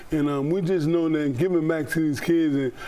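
With light background noise, a man talks at a fairly quick pace using fairly even intonation. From Chicago, Cabrini Green; Chicago. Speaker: former Olympic boxer; interview guest, community event host. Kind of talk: TV news interview. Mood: warm, earnest, smiling. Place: studio. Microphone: lapel.

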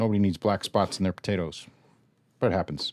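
A man talks at a very fast pace, his voice dry with no echo against a quiet background. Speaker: home cook host. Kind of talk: cooking tutorial. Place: kitchen.

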